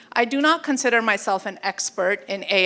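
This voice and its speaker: A woman talks at a fairly slow pace in a fairly high pitch with an animated tone. Her pitch variation is ordinary. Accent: Canadian. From Canada, Toronto. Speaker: AI workshop presenter. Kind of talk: live presentation. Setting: stage with audience.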